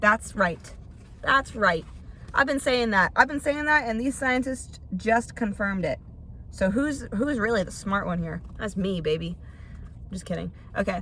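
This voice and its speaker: A woman with a medium pitch and a bright, sharp tone uses lively intonation and vocal fry, speaking at a fairly slow pace with long, frequent pauses. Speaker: podcast host. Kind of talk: casual podcast monologue.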